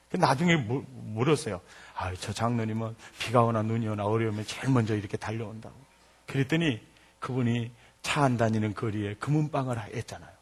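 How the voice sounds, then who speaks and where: In a Jeolla accent, the speaker talks at a fairly quick pace and sounds somewhat breathy. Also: man, medium pitch for a man, ordinary pitch variation. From Jeolla province, South Korea. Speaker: pastor. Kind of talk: sermon. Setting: church. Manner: animated.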